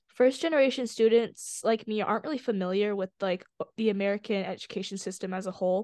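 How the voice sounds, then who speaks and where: A woman talks fairly quickly in a normal speaking voice at a medium pitch, her intonation fairly even. The sound is dry and close with no echo, over a quiet background. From born in China, raised in US. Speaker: student nonprofit art director. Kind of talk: interview podcast.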